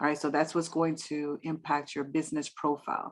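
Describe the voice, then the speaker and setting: A woman's very deep, low voice in a New York accent. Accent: New York Bronx. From New York City, the Bronx; Dominican family. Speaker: real estate investor and business credit speaker. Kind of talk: online presentation to a meetup. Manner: fast.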